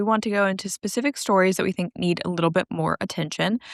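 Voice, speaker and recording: Speaking at a very fast pace, a woman with an American accent has a medium pitch and ordinary pitch variation, in a dry, close sound with no echo on a very clean recording with a silent background. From US South, Georgia. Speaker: gymnastics podcast co-host. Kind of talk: casual podcast chat with news rundown.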